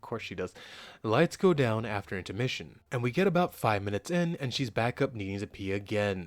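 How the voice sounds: A natural reading voice is heard. Its intonation is lively.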